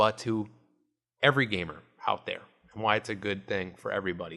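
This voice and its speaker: A man speaks with a bright, sharp tone. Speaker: quadriplegic gamer. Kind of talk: channel intro to camera.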